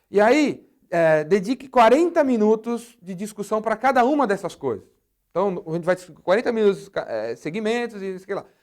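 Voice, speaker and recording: A man speaks with a high pitch and lively intonation. His loudness swings widely. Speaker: business speaker and sales trainer. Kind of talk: video monologue, business advice. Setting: studio. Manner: fast; casual, animated.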